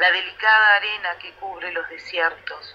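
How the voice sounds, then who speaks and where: A woman speaks fairly slowly in a Rioplatense accent, with noticeable background noise behind her. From Uruguay. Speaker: poet. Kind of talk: poet reading her own verse aloud. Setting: radio interview, remote. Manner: measured, slow, contemplative, lyrical.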